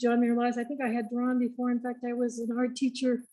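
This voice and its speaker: A woman speaks in a high pitch. Her tone is dark and mellow. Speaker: stroke survivor and former art teacher. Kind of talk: personal testimony in online discussion. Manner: somewhat monotone speech after stroke; halting, with restarts.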